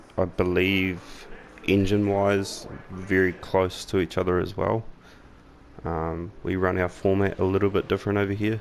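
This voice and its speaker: A man speaks with a New Zealand accent at a very deep, low pitch. His intonation is monotone and flat, at a moderate pace. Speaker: gaming YouTuber. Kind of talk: gameplay commentary. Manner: casual, with frequent fillers.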